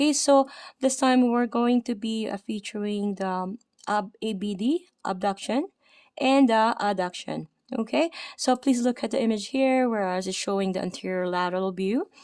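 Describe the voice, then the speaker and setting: A woman speaks with a Filipino accent and ordinary pitch variation on a very clean recording with a silent background. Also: fairly high pitch for a woman, moderate pace. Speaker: anatomy instructor. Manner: hesitant, uses many fillers.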